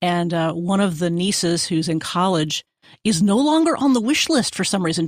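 At a moderate pace, a woman speaks in an ordinary speaking voice of medium pitch with lively intonation. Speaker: radio producer and reporter. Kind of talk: casual chat.

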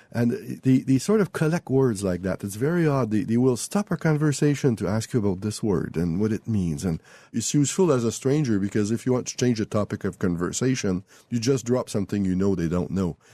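A man with a Quebec accent talks at a fairly quick pace with lively intonation, a medium pitch and a dark, mellow tone, in a dry, close sound with no echo and a quiet background. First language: French. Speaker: author. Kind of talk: interview. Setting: remote studio.

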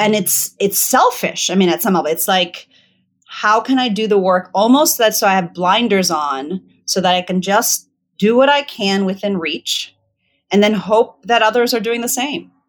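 A woman speaks at a medium pitch and a moderate pace, in a General American accent. It is a normal speaking voice with ordinary pitch variation. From Virginia, US. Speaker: author and facilitator. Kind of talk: interview conversation.

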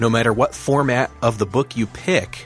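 Over music in the background, a man speaks with an American accent. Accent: flat, plain American. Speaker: podcast host.

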